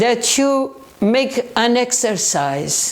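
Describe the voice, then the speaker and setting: A high-pitched woman's voice with a Portuguese accent over noticeable background noise. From southern Portugal. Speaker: paranormal researcher. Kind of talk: educational talk. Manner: halting.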